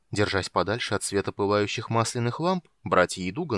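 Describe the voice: Plain reading aloud fills the recording.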